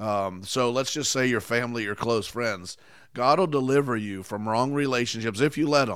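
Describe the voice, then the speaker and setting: Over a silent background on a very clean recording, a man talks at a medium pitch and moderate pace in an animated tone, with ordinary pitch variation. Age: 50s. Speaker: pastor. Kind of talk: sermon.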